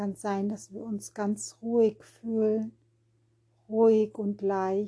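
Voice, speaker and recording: Very slow and calm, a woman speaks in a soothing, dark, mellow tone at a medium pitch, flat and monotone, with long, frequent pauses. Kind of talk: guided meditation. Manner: slow, calm, soothing, with long pauses; gentle, repetitive, rhythmic, noting words repeated in threes.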